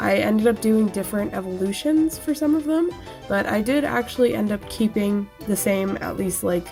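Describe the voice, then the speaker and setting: A woman speaks at a moderate pace with a medium pitch and lively intonation, with music playing in the background. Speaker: artist. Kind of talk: casual voiceover narration for a drawing video.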